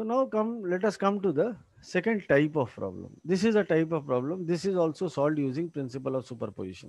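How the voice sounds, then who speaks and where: Against a quiet background, a high-pitched man with an Indian accent talks at a fairly quick pace with very wide pitch swings and hardly any pauses. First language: Hindi. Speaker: engineering lecturer. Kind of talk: lecture.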